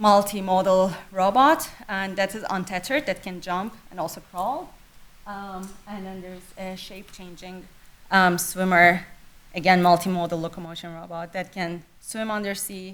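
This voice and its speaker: A woman talks at a medium pitch with fairly even intonation. Her loudness swings a lot. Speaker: robotics professor. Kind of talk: lecture. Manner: fast.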